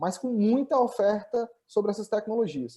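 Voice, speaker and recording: Against a quiet background, a man with a high pitch speaks at a moderate pace in a dark, mellow tone. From Brazil, Northeast (Ceará). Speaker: tech company founder and CEO. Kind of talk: webinar presentation. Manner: hesitant, many filler repetitions.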